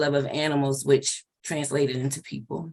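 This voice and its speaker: Speaking with an American accent, a woman keeps a moderate pace. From Maryland, Prince George's County. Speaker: animal welfare program manager. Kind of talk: interview.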